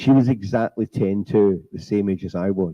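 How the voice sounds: The voice reads naturally. Pitch variation is ordinary.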